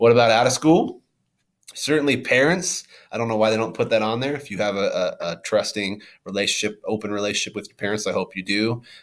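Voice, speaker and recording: A man talks at a very fast pace with big swings in loudness, captured in a very clean recording with a silent background. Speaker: middle school teacher or administrator. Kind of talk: recorded class video talk. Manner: halting, many fillers.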